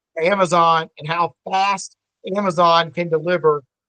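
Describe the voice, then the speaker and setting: A man speaks in a high voice, the sound dry and close with no echo. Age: 50s. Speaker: family law attorney. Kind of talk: podcast interview. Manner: halting, many fillers and repeats.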